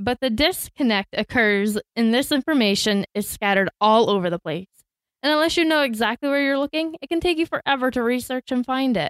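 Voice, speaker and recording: Her intonation is lively, and she speaks with an American accent at a high pitch. The woman's recording is very clean, with a silent background. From Florida, US. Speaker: podcast co-host, trained teacher. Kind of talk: scripted podcast introduction.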